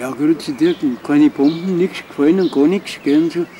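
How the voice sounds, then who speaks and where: With light background noise, a man speaks in a Bavarian accent with ordinary pitch variation. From Altötting, Bavaria, Germany. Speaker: Second World War veteran, eyewitness. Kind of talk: interview answer. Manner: casual dialect storytelling. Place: garden.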